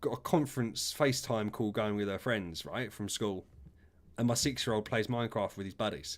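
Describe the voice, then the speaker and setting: On a very clean recording with a silent background, a man with an English accent talks at a fairly quick pace with ordinary pitch variation. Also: medium pitch for a man. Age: 30s. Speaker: gaming streamer. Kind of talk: casual chat. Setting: live stream.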